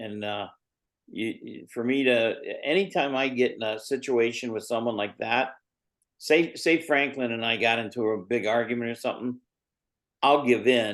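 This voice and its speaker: A man's plain, everyday voice with an American accent, medium in pitch, ordinary pitch variation, a moderate pace, and a quiet background. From Indiana, US Midwest. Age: 60s. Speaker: MMA manager and promoter. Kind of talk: podcast interview.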